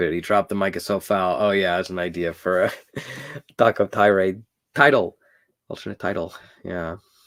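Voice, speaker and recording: In a dry, close sound with no echo, a man with a very deep, low pitch talks at a fairly quick pace, broken by long, frequent pauses. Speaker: animated series writer. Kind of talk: live stream Q&A. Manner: casual.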